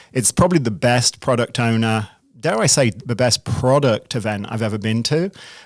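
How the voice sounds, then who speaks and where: In a very clean recording with a silent background and a dry, close sound with no echo, a man with an American accent talks at a moderate pace, medium pitch, and ordinary pitch variation. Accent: British accent becoming increasingly American. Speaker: CEO and product manager. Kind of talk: podcast interview. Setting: studio.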